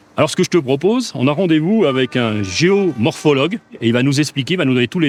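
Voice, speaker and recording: This man has a normal speaking voice. He talks at a fairly quick pace with lively intonation. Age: 60s. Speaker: company president. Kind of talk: casual chat.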